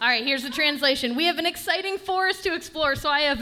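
Over noticeable background noise, a woman projects a raised voice at an extremely high pitch with lively intonation. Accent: American. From Michigan, East Lansing. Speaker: comedian. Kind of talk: stand-up. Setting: stage with audience.

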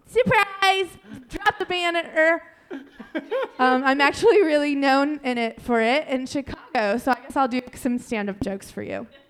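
Noticeable background noise behind a woman with an American accent, high-pitched, at a moderate pace with very wide pitch swings. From Ohio (Dayton). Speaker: comedian. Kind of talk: stand-up. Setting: stage with audience.

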